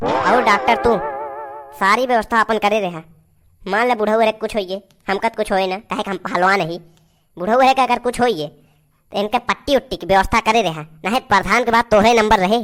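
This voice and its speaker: A woman does a cartoonish character voice at medium pitch and a moderate pace. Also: ordinary pitch variation. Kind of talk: rustic cartoon comedy. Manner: loud, bossy, coarse.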